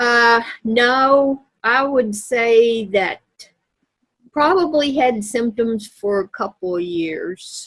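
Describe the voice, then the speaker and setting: In a Kentucky accent, a woman speaks at a very slow pace. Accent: Southern US (Kentucky). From US South, Louisville, Kentucky. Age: 60s. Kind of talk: interview. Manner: halting.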